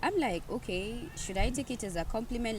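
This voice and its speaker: The somewhat breathy voice carries audible room echo. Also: woman. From Kenya. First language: a Kenyan language. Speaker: podcast host, nursing assistant. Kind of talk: casual conversation. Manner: stumbles over some words.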